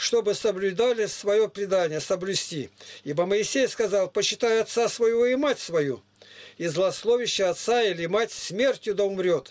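Speaking at a fairly slow pace, a man has a high pitch and ordinary pitch variation. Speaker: preacher reading scripture to strangers. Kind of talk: scripture reading. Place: home room.

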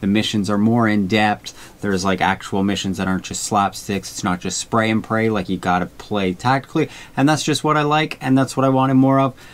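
This man's voice sits at a fairly low pitch. His pitch varies in an ordinary way. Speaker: paintball content creator. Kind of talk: casual vlog chat.

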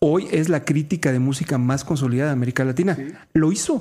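A man talks at a fairly quick pace in a dark, mellow tone. The recording is very clean, with a silent background. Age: 50s. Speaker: radio host and motivational speaker. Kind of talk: casual chat.

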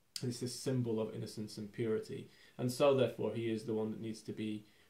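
A somewhat breathy male voice, fairly low in pitch, at a moderate pace with monotone, flat intonation. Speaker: film commentator. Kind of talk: commentary. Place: home room.

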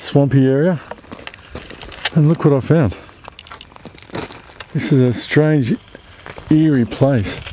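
The speech comes at a fairly slow pace over light background noise, with a dry sound and no echo. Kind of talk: casual vlog narration. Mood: curious, slightly uneasy. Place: open country. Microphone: phone near.

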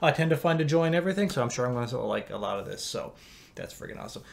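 His intonation is lively. The voice belongs to a man. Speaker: movie reaction YouTuber. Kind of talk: casual vlog chat. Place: home room.

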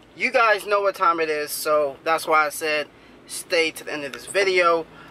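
A man's raised, projected voice at a fairly slow pace. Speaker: fishing vlogger. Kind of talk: casual vlog chat. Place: car. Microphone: phone near.

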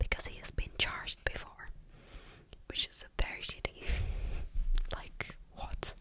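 A woman's whispering at a fairly slow pace, with big swings in loudness. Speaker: true crime storyteller. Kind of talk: casual narration with commentary. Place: home room. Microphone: studio mic.

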